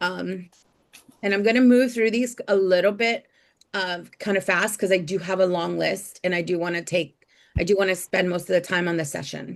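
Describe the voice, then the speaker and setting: At a moderate pace, a woman with a medium pitch and an ordinary speaking voice talks with ordinary pitch variation. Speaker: group session facilitator. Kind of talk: guided group session.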